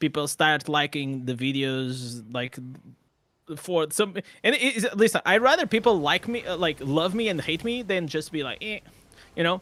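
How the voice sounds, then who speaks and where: A man with a non-native accent and a fairly high pitch speaks at a moderate pace with lively intonation. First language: not English. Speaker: gaming content creator. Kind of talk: casual chat. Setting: live stream. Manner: loud; animated.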